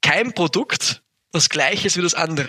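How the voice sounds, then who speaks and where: With a high pitch and ordinary pitch variation, a man talks at a fairly slow pace. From Upper Austria. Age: 20s. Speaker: entrepreneur. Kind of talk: interview. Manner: hesitant, many fillers.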